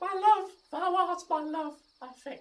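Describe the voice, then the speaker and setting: This is a put-on character voice, squeaky and at an extremely high pitch. The pace is fairly slow. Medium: stage play. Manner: melodramatic.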